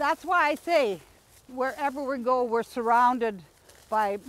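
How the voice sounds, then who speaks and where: A woman speaks at a moderate pace with ordinary pitch variation, recorded dry and close with no echo. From Manitoba, Canada. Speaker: Metis elder and herbal workshop leader. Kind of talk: outdoor workshop talk. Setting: outdoors. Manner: enthusiastic.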